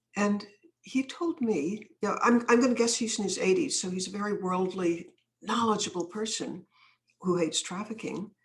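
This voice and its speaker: This woman's voice is somewhat breathy and medium in pitch. She talks at a moderate pace with ordinary pitch variation. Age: old. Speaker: anti-trafficking activist and author. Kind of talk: podcast interview, storytelling.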